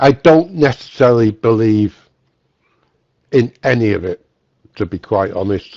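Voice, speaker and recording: A man with a Mancunian accent speaks in a dark, mellow tone, leaving long, frequent pauses. The sound is dry and close, with no echo. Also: medium pitch for a man. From northern England, Manchester. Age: 60s. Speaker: guest in a religious dialogue room. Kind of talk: casual conversation. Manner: halting, repeats words.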